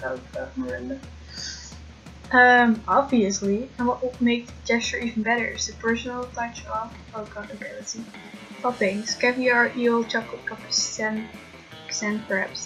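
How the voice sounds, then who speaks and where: The speech moves at a moderate pace. Music plays in the background. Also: woman. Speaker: college student. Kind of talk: let's play commentary, reading game dialogue aloud. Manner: mumbling, stumbles over words.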